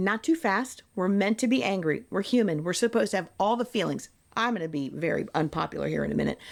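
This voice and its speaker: A woman of medium pitch speaks at a very fast pace with vocal fry. Her tone is animated and her intonation lively. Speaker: spiritual guide. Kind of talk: interview. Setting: on location at a wellness center.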